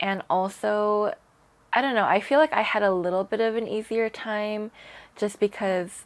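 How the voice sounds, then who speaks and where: A woman with an unremarkable speaking voice and an American accent speaks at a moderate pace with ordinary pitch variation. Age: 20s. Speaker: English teacher. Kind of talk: interview. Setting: in person.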